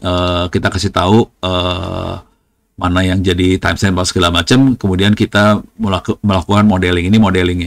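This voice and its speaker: A man's very deep, low voice at a very fast pace, in a very clean recording with a silent background. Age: 60s. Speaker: lecturer and IT expert. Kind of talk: technical demo lecture. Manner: casual, informal.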